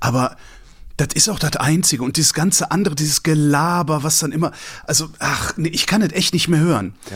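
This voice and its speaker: A man talks at a fairly quick pace with a fairly high pitch. Vocal fry colors his voice, and his pitch varies in an ordinary way. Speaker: podcast guest. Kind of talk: casual chat. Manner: animated ranting.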